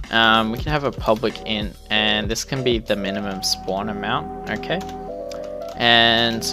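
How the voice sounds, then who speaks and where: There is music in the background. A man talks at a fairly slow pace. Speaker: game development tutorial narrator. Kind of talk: tutorial.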